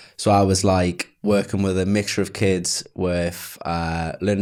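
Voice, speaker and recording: A man speaks with a Geordie accent. His voice is very deep and low, delivered in a flat monotone. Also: very clean recording, silent background. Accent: Geordie (Newcastle). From northern England, Newcastle. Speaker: email marketer. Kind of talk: podcast interview. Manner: casual, filler-heavy.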